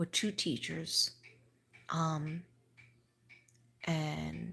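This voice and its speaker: On a very clean recording with a silent background, a woman with a New York accent sounds somewhat breathy. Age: 60s. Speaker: livestreamer, school teacher. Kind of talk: casual livestream monologue.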